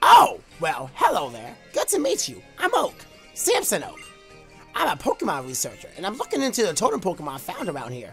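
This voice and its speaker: A man performs a put-on character voice at a fairly quick pace. Clear music plays in the background. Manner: warm, friendly, welcoming.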